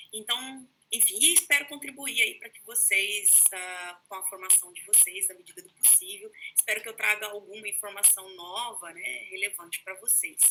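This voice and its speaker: Showing big swings in loudness, a woman with a Brazilian accent talks at a moderate pace, her pitch fairly high with ordinary variation. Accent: regional Brazilian. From Brazil, São Paulo state (Taubaté). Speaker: history professor. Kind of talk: lecture. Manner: informal, many fillers.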